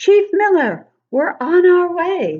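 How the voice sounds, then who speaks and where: A woman does a squeaky, put-on character voice at an extremely high pitch. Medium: read story.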